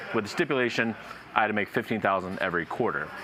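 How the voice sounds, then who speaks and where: Over noticeable background noise, a man with an American accent talks at a very fast pace with a fairly low pitch. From Ohio, US Midwest. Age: 30s. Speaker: professional poker player. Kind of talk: casual chat.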